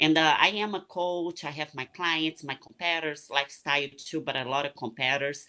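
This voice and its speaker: A woman with a Portuguese accent and a bright, sharp tone, at a moderate pace, over a quiet background. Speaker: retired bikini competitor and coach. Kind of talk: casual interview chat.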